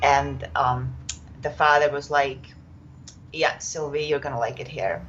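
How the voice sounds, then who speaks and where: Very deep, low pitch from a woman with a Czech accent, fairly slow and fairly even in intonation, with long, frequent pauses. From Czech Republic. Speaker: yoga teacher. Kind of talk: podcast interview. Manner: hesitant, many fillers.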